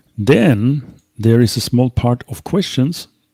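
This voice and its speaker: This man's dark, mellow voice has ordinary pitch variation and a dry, close sound with no echo, in a very clean recording with a silent background. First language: not English. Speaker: live show co-host. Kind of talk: live stream Q&A.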